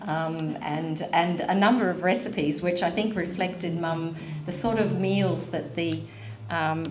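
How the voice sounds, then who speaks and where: A woman's fairly low-pitched voice at a fairly slow pace, over noticeable background noise. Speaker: former journalist. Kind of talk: interviewer.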